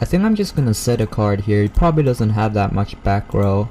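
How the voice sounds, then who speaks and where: Over noticeable background noise, a man with a fairly low pitch talks with lively intonation. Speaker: gaming YouTuber. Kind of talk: gameplay commentary. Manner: halting.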